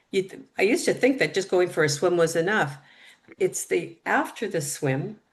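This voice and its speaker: A plain, everyday voice from a woman, fairly low in pitch, with lively intonation at a moderate pace. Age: 60s. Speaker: triathlete. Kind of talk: interview.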